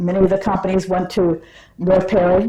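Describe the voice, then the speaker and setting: Over noticeable background noise, a woman with a fairly low pitch speaks at a moderate pace. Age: 70s. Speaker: retired airport operations employee. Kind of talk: interview answer, oral history.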